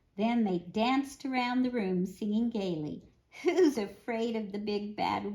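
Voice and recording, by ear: Ordinary pitch variation runs through this clip of someone reading aloud in a natural voice.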